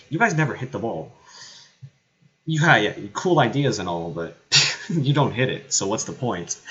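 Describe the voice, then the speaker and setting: A loud man at a moderate pace, with very wide pitch swings and long, frequent pauses. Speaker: live game commentator / streamer. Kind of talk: live commentary. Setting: at home streaming.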